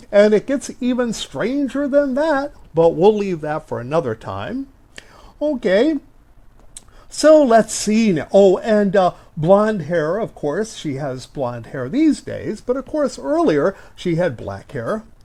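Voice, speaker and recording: A man speaks very slowly in a high pitch with a dark, mellow tone. His pitch swings very widely. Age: 60s. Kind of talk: casual podcast-style talk.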